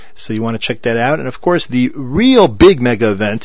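Medium-pitched male voice against noticeable background noise. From US, Baltimore. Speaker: radio show host and rabbi. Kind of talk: radio interview and announcements.

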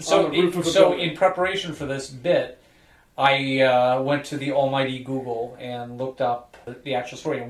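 A man with a Chicago accent, ordinary pitch variation and noticeable background noise. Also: medium pitch for a man, fairly slow pace. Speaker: podcast host.

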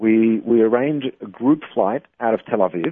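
The speaker is a man with an Australian accent. His pitch sits in the medium range. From Australia, Melbourne. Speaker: travel business owner. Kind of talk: interview. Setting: phone call.

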